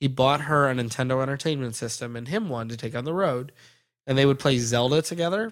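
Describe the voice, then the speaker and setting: On a very clean recording with a silent background, a man with an ordinary speaking voice talks at a fairly quick pace and a fairly high pitch. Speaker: podcast host. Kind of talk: casual comedic chat.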